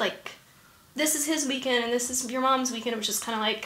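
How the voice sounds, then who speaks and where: A woman speaks with a high pitch and an American accent. Her pitch varies in an ordinary way, and the room echo is audible. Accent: faint Southern accent, mostly suppressed. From US South. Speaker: actress and improviser. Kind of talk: interview.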